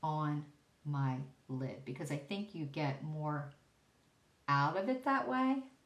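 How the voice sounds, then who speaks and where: This voice belongs to a woman. It is very deep and low in pitch. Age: 60s. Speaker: beauty vlogger. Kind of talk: makeup tutorial talk to camera. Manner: casual, chatty.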